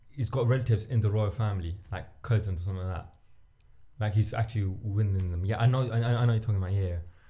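The man's voice is fairly low in pitch, with a dark, mellow tone and a somewhat breathy quality. He talks very fast, with fairly even intonation. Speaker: podcast host. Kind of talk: casual chat. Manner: halting.

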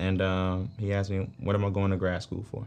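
Music plays in the background. A man is speaking. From Atlanta, Georgia. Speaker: business executive. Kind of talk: casual interview.

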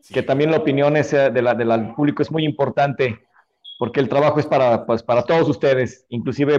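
Speech at a fairly quick pace comes in an unremarkable speaking voice with ordinary pitch variation. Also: man. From Mexico, Nayarit. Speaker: metal band drummer. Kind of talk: casual interview.

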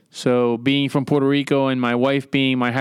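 On a very clean recording with a silent background, a man with a normal speaking voice talks at a medium pitch and moderate pace with fairly even intonation. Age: 40s. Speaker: navy officer. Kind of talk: interview.

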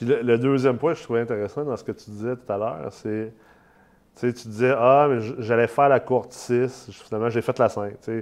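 Against a quiet background, a man with a normal speaking voice talks at a moderate pace in a medium pitch, his intonation fairly even. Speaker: podcast host, real estate investment company CEO. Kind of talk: casual interview; promotional pitch.

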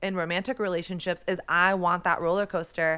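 A voice with a bright, sharp tone and an American accent speaks in a monotone, flat intonation on a very clean recording with a silent background. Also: woman. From Texas. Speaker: podcast host, author and photographer. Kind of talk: interview conversation.

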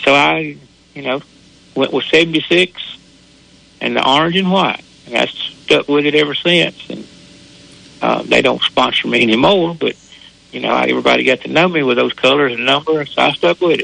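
Over noticeable background noise, a man with a Southern US accent talks at a moderate pace with long, frequent pauses. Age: 70s. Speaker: local racetrack driver.

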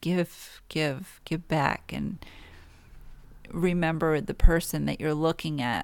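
A woman's very deep, low voice with vocal fry, on a very clean recording with a silent background. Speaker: spiritual podcast host. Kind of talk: solo spiritual talk. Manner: mellow, low energy; laughs often.

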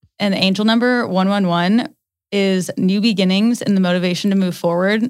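A woman at medium pitch and a fairly quick pace, on a very clean recording with a silent background. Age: 20s. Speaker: podcast co-host. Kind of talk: casual chat. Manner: animated.

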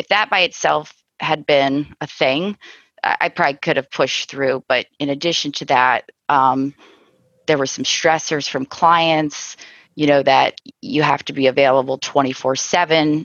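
With a Midwestern American accent, a woman talks at a fairly slow pace. Her pitch is very deep and low, and her intonation stays fairly even. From US Midwest, Cincinnati, Ohio. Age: 40s. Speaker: insurance agency owner. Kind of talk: interview conversation.

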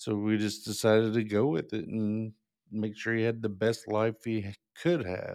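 Recorded very cleanly with a silent background, a man speaks with a fairly low pitch and fairly even intonation. His pace is moderate, and he has an unremarkable speaking voice. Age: 40s. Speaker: employment specialist and parent. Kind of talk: personal story interview.

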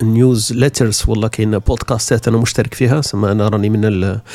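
A man's medium-pitched voice at a fairly quick pace with monotone, flat intonation. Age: 40s. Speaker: podcaster. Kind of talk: solo podcast monologue. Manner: casual conversational.

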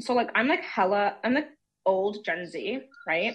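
A woman's lively intonation rides on an ordinary speaking voice as she talks at a fairly slow pace. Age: 20s. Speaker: caller. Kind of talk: casual call-in question. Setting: phone call.

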